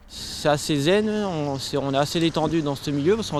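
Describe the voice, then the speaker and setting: Noticeable background noise behind a man talking fairly quickly, fairly high in pitch, with ordinary pitch variation. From northeastern France. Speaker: permaculture association founder. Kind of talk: interview. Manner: hesitant.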